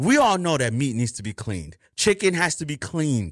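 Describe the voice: A man at a moderate pace, with a fairly bright tone, lively intonation, and a very clean recording with a silent background.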